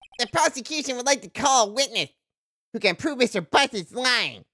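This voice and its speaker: A nasal put-on character voice moves at a fairly quick pace in a very clean recording with a silent background and a dry, close sound with no echo. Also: man, extremely high pitch for a man. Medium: virtual streamer. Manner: pompous.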